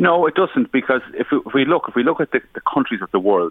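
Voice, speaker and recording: A man speaks with an Irish accent. His pace is fairly quick. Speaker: government minister. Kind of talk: radio interview. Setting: phone call.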